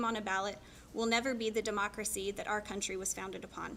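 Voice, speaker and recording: Amid noticeable background noise, a woman with a fairly high pitch talks at a fairly quick pace in a flat monotone. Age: 30s. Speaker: political candidate. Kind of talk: campaign speech.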